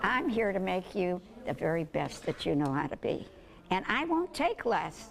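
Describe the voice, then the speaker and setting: This woman has an American accent. She speaks at a moderate pace. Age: 80s+. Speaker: special education teacher. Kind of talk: interview answer.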